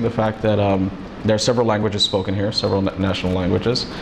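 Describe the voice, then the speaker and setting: A man with a Spanish accent and a fairly low pitch, with audible room echo and noticeable background noise. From US, Los Angeles, California. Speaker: immigration paralegal. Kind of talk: interview. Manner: halting, with many fillers.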